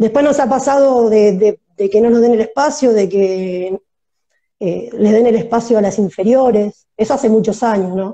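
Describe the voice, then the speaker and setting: Her tone dark and mellow, a woman speaks at a moderate pace with a fairly high pitch and ordinary pitch variation. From Argentina, La Plata. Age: 30s. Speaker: women's football player. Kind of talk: interview. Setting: video call livestream. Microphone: using headphones, initially quiet.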